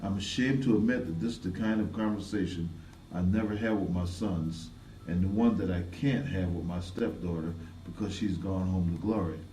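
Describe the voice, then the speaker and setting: A man's dark, mellow voice sounds somewhat breathy, with ordinary pitch variation at a moderate pace. Room echo is audible. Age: 60s. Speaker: community advocate. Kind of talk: testimony. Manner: scripted narration, read from prepared text.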